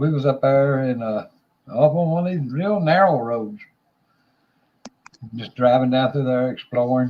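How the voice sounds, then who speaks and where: The speaker talks with a Southern US accent at a fairly slow pace. Long, frequent pauses break up speech that has ordinary pitch variation. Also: man, medium pitch for a man. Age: 60s. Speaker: livestream host. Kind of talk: casual chat. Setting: livestream.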